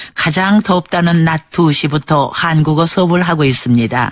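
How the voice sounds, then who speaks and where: A woman's unremarkable speaking voice, fairly low in pitch, with ordinary pitch variation and a fairly slow pace. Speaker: radio documentary narrator. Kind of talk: radio documentary narration.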